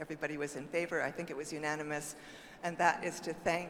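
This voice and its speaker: There is noticeable background noise behind this woman. She speaks at a fairly quick pace and a fairly low pitch. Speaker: party official speaking from the floor. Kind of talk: convention floor comment. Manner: fast.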